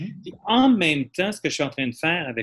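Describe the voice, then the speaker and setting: The pitch of this man's voice swings very widely. He keeps to a moderate pace. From Quebec. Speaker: audience participant, actor. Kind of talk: audience comment, personal testimony.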